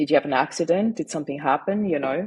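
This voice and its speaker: The speaker is a woman. She talks in a German accent. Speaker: grief mindset coach and author. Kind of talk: personal testimony in a podcast interview.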